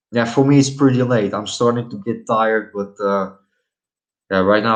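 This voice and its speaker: The speaker has a Dutch accent. The intonation is monotone and flat. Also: man, quiet background. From Netherlands. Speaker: live streamer. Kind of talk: casual live stream chat. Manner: hesitant, many fillers.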